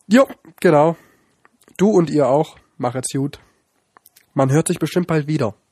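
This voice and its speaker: A man's fairly high voice with a dark, mellow tone, ordinary pitch variation, a fairly slow pace, and long, frequent pauses. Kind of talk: casual chat.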